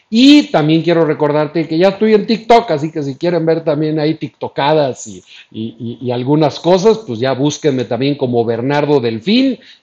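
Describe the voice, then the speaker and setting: Speaking at a moderate pace with hardly any pauses, a man with a fairly high pitch and a dark, mellow tone makes very wide pitch swings and big swings in loudness. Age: 50s. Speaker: running coach and marathon runner. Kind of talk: live-stream talk on running. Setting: live internet broadcast.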